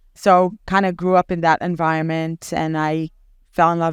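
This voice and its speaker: A woman with an Israeli accent talks at a moderate pace and a fairly low pitch, her intonation monotone and flat. The sound is dry and close with no echo, over a quiet background. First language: Hebrew. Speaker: basketball team general manager. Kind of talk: casual interview. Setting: podcast. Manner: hesitant, many fillers.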